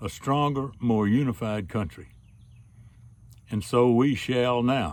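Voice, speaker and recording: On a very clean recording with a silent background, a man speaks at a medium pitch in a Southern US accent. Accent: Southern American. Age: 80s+. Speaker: storyteller; military veteran. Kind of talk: spoken opinion essay to camera.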